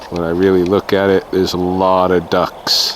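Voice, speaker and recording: There is noticeable background noise. A man with a very deep, low pitch speaks at a very slow pace. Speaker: nature vlogger. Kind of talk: outdoor walking vlog narration. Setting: outdoors in a park, snowing. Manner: casual, conversational; too loud, then quieter.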